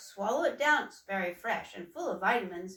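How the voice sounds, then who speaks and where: Delivered at a fairly quick pace, this is a put-on character voice. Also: woman, medium pitch for a woman. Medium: read story. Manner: motherly, coaxing.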